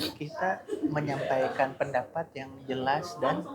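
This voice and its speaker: A fairly high-pitched man's voice against noticeable background noise. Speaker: stand-up comedian and podcast host. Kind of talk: casual chat. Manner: hesitant.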